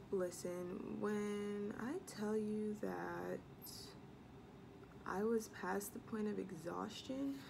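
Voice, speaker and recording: Noticeable background noise sits behind a woman speaking with an American accent. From US Midwest. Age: 18, college student. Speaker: beauty and lifestyle vlogger; college student vlogger. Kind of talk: casual vlog chat. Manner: chatty, many fillers. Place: home room. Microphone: phone near.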